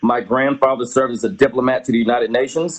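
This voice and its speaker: Here is a man with an unremarkable speaking voice at medium pitch. His intonation stays fairly even. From Georgia, US. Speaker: political candidate and advocate. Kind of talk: interview. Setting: live stream.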